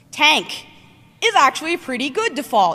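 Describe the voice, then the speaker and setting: A high-pitched woman's voice against noticeable background noise. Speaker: conference speaker on robotics. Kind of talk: conference talk. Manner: fast; casual with many fillers.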